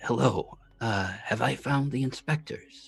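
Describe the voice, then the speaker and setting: With faint music behind him, a man uses a put-on character voice at medium pitch and a fairly slow pace. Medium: actual play. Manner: polite, formal.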